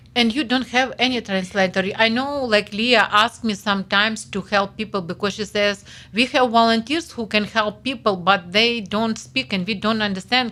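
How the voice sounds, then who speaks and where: A woman speaks in a fairly high pitch with fairly even intonation. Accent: Ukrainian. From Ukraine. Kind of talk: interview answer.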